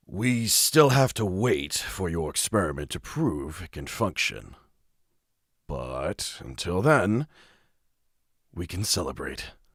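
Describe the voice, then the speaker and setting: A man's put-on character voice, very deep and low, with very wide pitch swings, a fairly slow pace, and long, frequent pauses. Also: very clean recording, silent background. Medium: virtual streamer.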